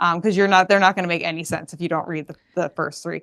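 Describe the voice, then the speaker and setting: A woman's bright, sharp voice with a Boston accent, on a very clean recording with a silent background. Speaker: podcast guest, fellow podcaster. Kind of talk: casual chat.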